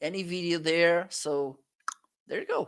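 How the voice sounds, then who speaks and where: Speaking at a fairly slow pace, a man with a Portuguese accent uses a high-pitched voice. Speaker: product reviewer and live stream co-host. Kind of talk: casual live stream chat. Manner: halting.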